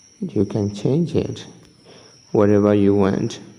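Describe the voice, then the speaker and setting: A man at a very slow pace, fairly low in pitch with ordinary pitch variation, over noticeable background noise. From Myanmar. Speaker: tutorial youtuber. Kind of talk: tutorial. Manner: halting.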